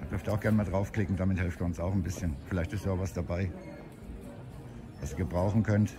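A man speaks against noticeable background noise. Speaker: walking vlogger. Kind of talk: casual vlog chat. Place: street. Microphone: phone near.

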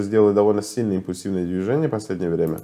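The speaker is a man. His voice sits fairly low. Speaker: market analyst. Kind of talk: market analysis video. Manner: halting, with filler sounds. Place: home room. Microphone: webcam.

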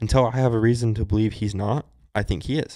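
At a moderate pace and medium pitch, a man talks in a dark, mellow tone with ordinary pitch variation against a quiet background. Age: 20s. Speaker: stepfather and refinery worker; podcast guest. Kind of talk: casual chat. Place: home room. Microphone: handheld.

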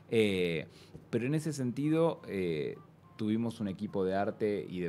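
Over light background noise, a man speaks with a dark, mellow tone. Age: 30s. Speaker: film director; interview guest. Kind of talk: interview. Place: studio. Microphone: studio mic.

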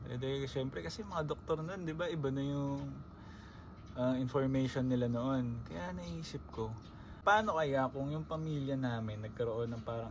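A man speaks at a medium pitch with lively intonation. Noticeable background noise and audible room echo surround him. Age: 20s. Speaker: vlogger. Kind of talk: casual monologue. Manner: conversational.

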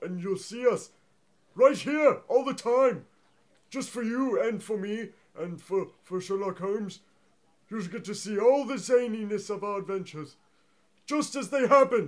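A man uses a put-on character voice pitched high, moving at a moderate pace. He leaves long, frequent pauses. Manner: flustered, stammering.

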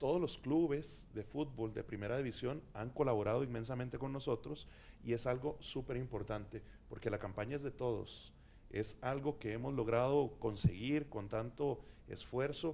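With a dark, mellow tone, a man talks at a moderate pace. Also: ordinary pitch variation. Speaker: campaign representative on a panel. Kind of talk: panel discussion answer. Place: studio. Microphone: handheld.

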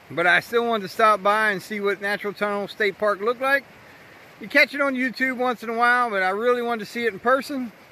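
A man speaks in a raised, projected voice with a bright, sharp tone, at a fairly quick pace and with ordinary pitch variation, the sound dry with no echo. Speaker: train video vlogger. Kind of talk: casual vlog chat. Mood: upbeat, hopeful. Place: open country. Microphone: phone near.

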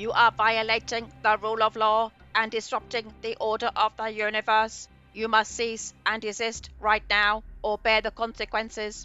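A female-sounding put-on character voice, fairly high in pitch, plays over faint music in the background. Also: moderate pace. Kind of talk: formal legal proclamation. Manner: officious, commanding, mechanical.

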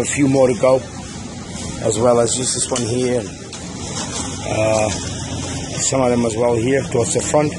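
A man talks with ordinary pitch variation. Noticeable background noise can be heard. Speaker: contractor showing job site. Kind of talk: site walkthrough commentary. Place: street. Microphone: phone near.

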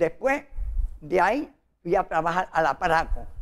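Vocal fry runs through a man's fairly high-pitched voice. His pitch variation is ordinary. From Puerto Rico, Morovis (rural); Puerto Rico. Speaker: interviewee telling his life story; interviewee. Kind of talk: interview, life story. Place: studio. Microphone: lapel.

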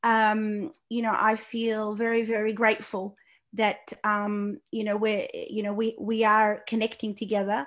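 The pace is fairly slow. This woman's intonation stays monotone and flat. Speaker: guest. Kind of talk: panel talk. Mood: earnest, indignant. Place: home room. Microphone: video call.

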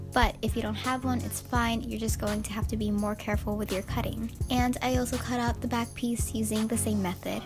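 A woman with hardly any pauses, music in the background. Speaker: sewing YouTuber. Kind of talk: DIY tutorial voiceover.

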